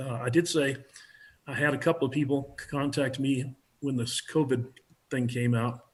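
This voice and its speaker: A man speaks in a monotone, flat intonation at medium pitch. His voice is somewhat breathy. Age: 70s. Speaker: preparedness instructor. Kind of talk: interview.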